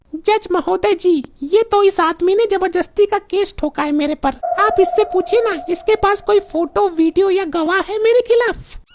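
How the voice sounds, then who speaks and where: In a put-on character voice, a woman speaks at an extremely high pitch and a moderate pace, with hardly any pauses. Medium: comedy sketch. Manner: chatty.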